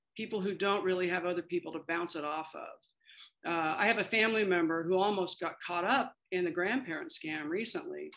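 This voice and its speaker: With a Midwestern accent, a woman of medium pitch speaks at a fairly quick pace with hardly any pauses and ordinary pitch variation. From Kansas, US Midwest. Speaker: aging policy expert, former government official. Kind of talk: interview.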